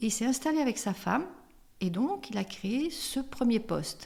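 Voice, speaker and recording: A woman with a somewhat breathy voice speaks at a moderate pace with lively intonation. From France, Limoges. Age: 60s. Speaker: suicide helpline volunteer, association president. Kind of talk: interview. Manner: hesitant, many fillers.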